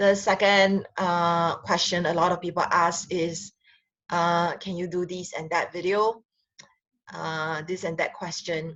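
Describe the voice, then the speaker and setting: A woman with a Singaporean accent speaks fairly slowly at a fairly low pitch. Her intonation is monotone and flat, over a quiet background. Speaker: relationship counselor and sexologist. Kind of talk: casual talk to camera. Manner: hesitant, many fillers.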